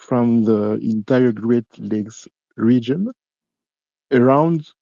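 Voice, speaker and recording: Speaking with a French accent, a man's voice sits at a medium pitch. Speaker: caller asking a question. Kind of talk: live online Q&A. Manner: halting.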